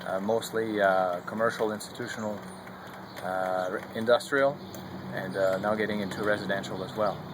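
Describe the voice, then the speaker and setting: A man with a slight French Canadian accent, fairly low in pitch, at a moderate pace with fairly even intonation, amid noticeable background noise and audible room echo. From Quebec. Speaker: solar heating company representative. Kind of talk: product presentation.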